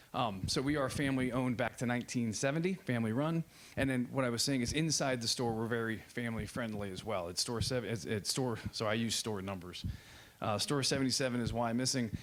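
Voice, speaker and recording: This man talks at a very fast pace with an American accent. His pitch is medium, with ordinary variation. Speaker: company president presenting to zoning board. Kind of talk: formal presentation. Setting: public hearing meeting room.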